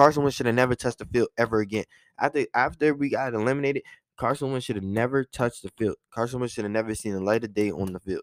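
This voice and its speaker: On a very clean recording with a silent background and a dry, close sound with no echo, a man talks very fast at a medium pitch with ordinary pitch variation. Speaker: podcast host and sports fan. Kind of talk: casual sports commentary monologue. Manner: casual, conversational, biased fan.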